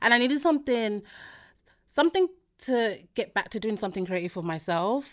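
In a very clean recording with a silent background, a woman with an African accent speaks in an animated tone at a fairly high pitch, with very wide pitch swings and long, frequent pauses. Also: fairly quick pace. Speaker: podcaster. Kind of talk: casual chat.

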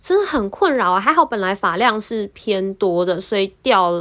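With a Taiwanese accent, a woman speaks at a moderate pace and medium pitch, with lively intonation, in a very clean recording with a silent background. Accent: Taiwanese Mandarin. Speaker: podcast host. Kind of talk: casual monologue.

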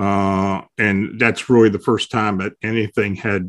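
Recorded dry and close with no echo, a man with an American accent has an ordinary speaking voice at fairly low pitch and fairly even intonation. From south-central Pennsylvania. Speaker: paranormal researcher and blogger. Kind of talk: casual interview.

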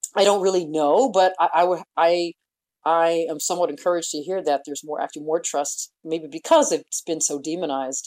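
Speaking at a fairly quick pace, a woman with a fairly low voice keeps her intonation fairly even. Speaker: author and opinion writer. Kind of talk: radio interview. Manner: thoughtful, hesitant with fillers.

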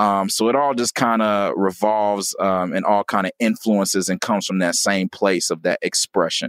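In an American accent, a man with an unremarkable speaking voice talks at a fairly low pitch and moderate pace, with fairly even intonation and very even loudness, on a very clean recording with a silent background and a dry, close sound with no echo. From US Midwest (Gary, Indiana). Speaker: rapper and educator. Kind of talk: interview.

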